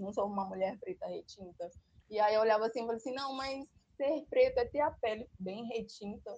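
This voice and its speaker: In a dark, mellow tone, a woman speaks at a moderate pace, her fairly high pitch showing ordinary variation. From Brazil, interior of Maranhão. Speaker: social sciences student and educator. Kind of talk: casual chat.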